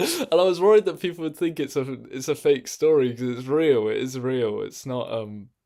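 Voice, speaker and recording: A man with an English accent and a dark, mellow tone. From England. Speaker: streamer. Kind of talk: casual chat. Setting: live stream in own room. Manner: animated.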